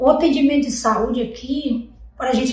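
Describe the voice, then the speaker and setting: Both audible room echo and noticeable background noise are present in this clip. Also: woman. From Brazil, Amazon riverside community. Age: 20s. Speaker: rural community resident. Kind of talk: documentary interview testimony.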